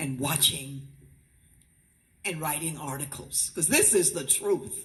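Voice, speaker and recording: A woman with an American accent and a very deep, low pitch, somewhat breathy and animated in tone, at a fairly slow pace with ordinary pitch variation. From Miami, Florida, US. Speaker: school board member, former principal. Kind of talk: ceremonial presentation speech.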